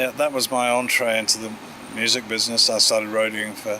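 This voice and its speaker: A man talks with an English accent. His pitch is medium, and background noise is noticeable. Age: 60s. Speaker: audio company founder. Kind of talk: interview. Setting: award event. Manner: hesitant, many fillers.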